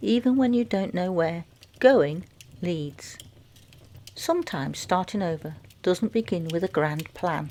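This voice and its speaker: Soft-spoken and gentle in tone, a woman with a medium pitch and a dark, mellow tone speaks at a fairly slow pace with lively intonation and long, frequent pauses. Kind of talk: reflective fireside chat. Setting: crackling fire in background. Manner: soft-spoken, gentle.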